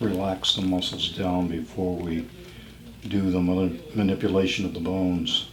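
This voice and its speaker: There is noticeable background noise along with audible echo from the room. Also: man. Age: 70s. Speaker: chiropractor. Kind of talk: explaining a treatment while working. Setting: chiropractic office, filmed.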